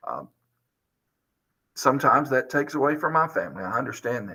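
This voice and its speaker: Here a man speaks with a Southern US accent at a moderate pace. His tone is bright and sharp. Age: 50s. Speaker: high school teacher. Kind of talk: video interview monologue.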